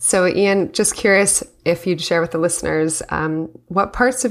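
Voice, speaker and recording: Recorded very cleanly against a silent background, a woman with an unremarkable speaking voice talks at a moderate pace with ordinary pitch variation. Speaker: interviewer. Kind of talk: casual interview conversation.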